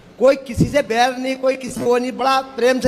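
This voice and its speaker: There is noticeable background noise as a man talks at an extremely high pitch. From Uttarakhand, Champawat district. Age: 70s. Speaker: devotee visitor. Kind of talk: testimony.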